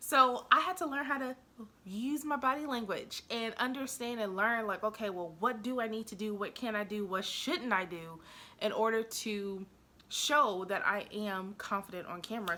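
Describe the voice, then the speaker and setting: A woman with a normal speaking voice talks at a fairly high pitch, with ordinary pitch variation. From US South, Nashville, Tennessee. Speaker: YouTube strategist and business coach. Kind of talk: tutorial.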